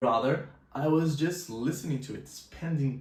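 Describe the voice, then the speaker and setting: In a Brazilian accent, a man speaks at a fairly slow pace with a fairly high pitch and vocal fry. His pitch varies in an ordinary way, and the room echo is audible. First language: Portuguese. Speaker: language teacher and polyglot vlogger. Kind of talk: personal story vlog.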